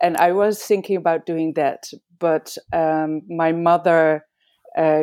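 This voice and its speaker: In a Dutch accent, a woman speaks with a very deep, low pitch, a dark, mellow tone and fairly even intonation. The recording is very clean, with a silent background and a dry, close sound with no echo. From Amsterdam, Netherlands. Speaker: veterinarian and acupuncturist. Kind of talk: interview conversation. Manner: halting, with many fillers.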